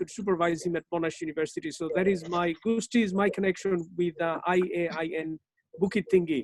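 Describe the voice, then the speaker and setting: Over music in the background, the speaker moves at a fairly quick pace with fairly even intonation. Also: woman. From Bangladesh. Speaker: university lecturer. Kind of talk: lecture. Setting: online webinar.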